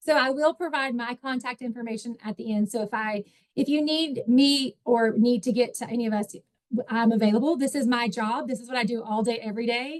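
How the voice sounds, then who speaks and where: A woman speaks in a high voice at a fairly quick pace, her pitch varying in an ordinary way, with a dry, close sound and no echo. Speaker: nonprofit director and workshop presenter. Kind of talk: online workshop presentation. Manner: fast.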